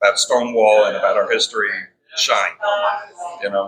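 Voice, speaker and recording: Fairly quick speech from a man with a New York accent. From New York City (Bronx, Queens). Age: 60s. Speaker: restaurant owner. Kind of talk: casual interview. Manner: repeats words often.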